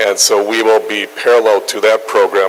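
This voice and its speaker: The speaker has a northern US accent and talks at a moderate pace. Noticeable background noise runs underneath. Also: man. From northern US near Canada. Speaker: nutrition researcher and journal editor. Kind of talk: lecture.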